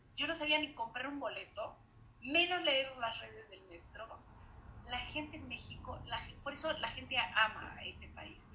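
A woman talks at a fairly slow pace, her loudness swinging widely, with audible echo from the room. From Uruguay. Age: 40s. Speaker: podcast host. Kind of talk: casual chat.

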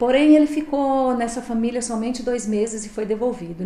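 A woman at a moderate pace with ordinary pitch variation, amid noticeable background noise and audible room echo. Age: 50s. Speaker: shelter supervisor. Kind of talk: interview.

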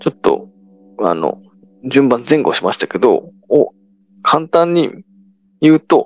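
A man speaking fairly slowly with long, frequent pauses, in a dry, close sound with no echo and music in the background. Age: 30s. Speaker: solo podcaster. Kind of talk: casual monologue. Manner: halting, many fillers.

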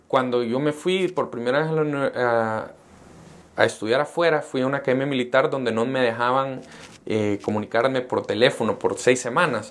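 Speaking at a fairly quick pace, a man uses a normal speaking voice at a medium pitch. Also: ordinary pitch variation. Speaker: entrepreneur. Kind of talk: interview. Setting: coworking space studio.

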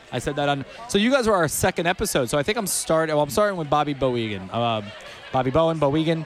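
Very fast speech from a man with a fairly high pitch and very wide pitch swings, over noticeable background noise. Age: 40s. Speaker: podcast host. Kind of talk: casual interviews. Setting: outdoors at a beer festival.

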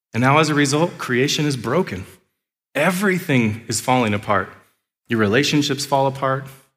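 A man with an animated tone and long, frequent pauses, music in the background. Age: 30s. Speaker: pastor. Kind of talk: sermon. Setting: church.

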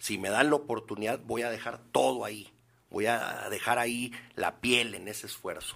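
A man speaks at a moderate pace and medium pitch with fairly even intonation. His tone is bright and sharp, touched with vocal fry. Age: 50s. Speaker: politician. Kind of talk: interview.

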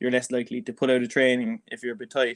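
On a very clean recording with a silent background, a man with a Cork accent speaks at medium pitch in a dry, close sound with no echo. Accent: Irish (Cork). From Ireland (Cork). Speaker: neuroscientist, Gaelic footballer and podcast co-host. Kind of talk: casual chat.

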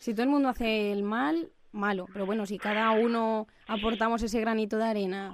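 The speaker has a slight Albacete accent. The pace is fairly quick. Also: woman, fairly high pitch for a woman, ordinary pitch variation. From Albacete, Spain. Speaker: student radio host. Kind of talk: interview. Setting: studio.

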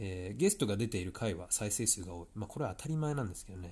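A man speaks fairly quickly in a fairly low, somewhat breathy voice with a dark, mellow tone. His intonation is lively. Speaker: tennis coach and podcast host. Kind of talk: solo podcast monologue. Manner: casual with frequent fillers.

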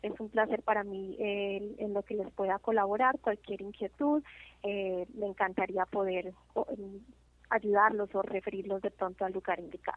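Fairly even intonation and a moderate tempo from a woman at medium pitch. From Colombia. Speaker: community outreach supervisor. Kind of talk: interview. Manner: frequent hesitations (eh).

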